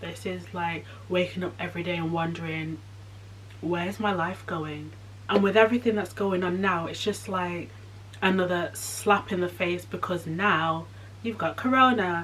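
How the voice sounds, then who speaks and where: A woman speaks at a fairly low pitch with very wide pitch swings. Noticeable background noise is present. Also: moderate pace. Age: 20s. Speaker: vlogger. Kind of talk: personal vlog. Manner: halting.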